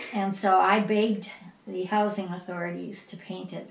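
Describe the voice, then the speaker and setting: Over noticeable background noise and audible room echo, the speaker goes at a moderate pace in a monotone, flat delivery. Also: woman. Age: 70s. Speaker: piano teacher. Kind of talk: interview.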